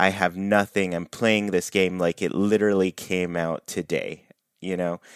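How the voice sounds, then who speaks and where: This man has a very deep, low pitch. He speaks with monotone, flat intonation. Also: moderate pace, dry, close sound with no echo. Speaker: podcast host. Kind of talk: casual chat.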